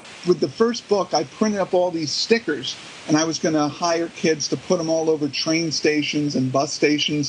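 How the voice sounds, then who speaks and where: Noticeable background noise sits behind a man's voice. He talks at a fairly quick pace, fairly high in pitch with ordinary pitch variation. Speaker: author. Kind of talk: casual chat.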